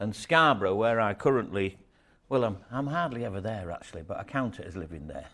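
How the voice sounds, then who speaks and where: A man with a Yorkshire accent is heard on a very clean recording with a silent background. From northern England, York (Yorkshire). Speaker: storyteller. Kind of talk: storytelling talk to an audience. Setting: stage with audience. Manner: halting, many fillers and repeats.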